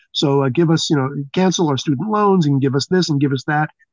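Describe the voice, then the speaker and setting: A man with a normal speaking voice talks at a fairly quick pace with a fairly high pitch. His intonation is lively, and the sound is dry and close with no echo. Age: 60s. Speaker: podcast host. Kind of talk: casual chat.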